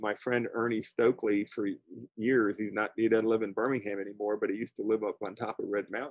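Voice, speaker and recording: With an American accent, a man talks in a monotone, flat intonation, the sound dry with no echo and the background quiet. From Florida. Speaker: birding instructor. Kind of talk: lecture. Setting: video call. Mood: warm, chatty. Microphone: video call.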